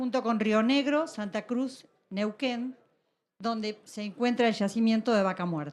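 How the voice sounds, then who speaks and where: Her pitch high, a woman talks at a moderate pace with ordinary pitch variation. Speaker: policy advisor. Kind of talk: conference panel talk. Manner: formal.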